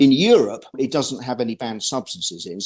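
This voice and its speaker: A man with a British accent, medium pitch and lively intonation. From Britain. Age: 60s. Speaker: ski journalist. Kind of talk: interview. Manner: halting, with many repeated words.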